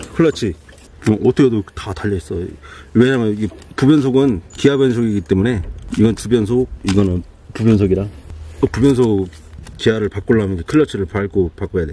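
Speaking at a fairly quick pace with long, frequent pauses, a man with a fairly low pitch and ordinary pitch variation comes through in a dry sound with no echo. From Chungcheong, South Korea. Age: 30s. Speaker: young farmer. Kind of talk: casual farm machinery review interview. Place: farm. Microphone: camera far.

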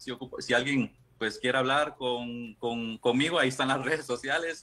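A man speaks with a Costa Rican accent. His tone is bright and sharp. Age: 30s. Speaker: guest sharing personal experience; guest. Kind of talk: casual interview. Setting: remote video call. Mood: personal, reflective. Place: home room. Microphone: video call.

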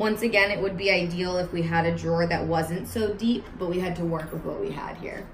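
There's light background noise and audible room echo as a woman speaks with fairly even intonation. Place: kitchen.

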